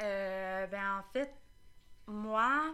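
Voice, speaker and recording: A woman with a Quebec accent speaks in a bright, sharp tone with fairly even intonation. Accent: Québécois French. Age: 20s. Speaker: school custodian. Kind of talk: casual chat. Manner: halting. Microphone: too far from the mic.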